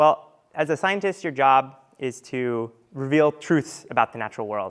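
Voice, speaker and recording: The man's voice sits at a medium pitch, moves at a moderate pace and varies in pitch in an ordinary way. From US East Coast, Argentine family. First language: Spanish. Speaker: marine scientist. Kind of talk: presentation to audience.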